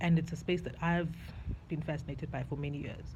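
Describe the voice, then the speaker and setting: Her tone is dark and mellow, with vocal fry. The woman's voice carries audible room echo. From South Africa. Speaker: video diarist. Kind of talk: personal video diary monologue. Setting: outdoors on a balcony. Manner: casual, reflective.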